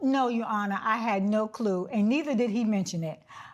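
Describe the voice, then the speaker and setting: A woman with a New York accent and a fairly high pitch talks at a moderate pace. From New York, Brooklyn. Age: 70s. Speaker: witness in a TV court case. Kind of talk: courtroom testimony.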